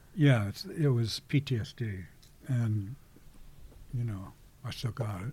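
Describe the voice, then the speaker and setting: Dark, mellow tone in an American accent, somewhat breathy, at a fairly slow pace with long, frequent pauses and ordinary pitch variation. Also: man, medium pitch for a man. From Kansas City area, US Midwest. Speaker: activist and war veteran. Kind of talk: interview conversation. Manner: halting.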